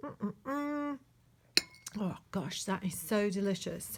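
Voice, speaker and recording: A woman at medium pitch, lively in intonation and fairly slow in pace, with noticeable background noise. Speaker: online art teacher. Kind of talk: casual drawing tutorial. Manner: trying to speak softly.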